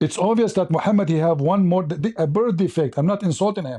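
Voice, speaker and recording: Against a quiet background, a man speaks at a fairly quick pace with a high pitch. His tone is dark and mellow, with ordinary pitch variation. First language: Arabic. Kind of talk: heated debate. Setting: livestream. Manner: animated.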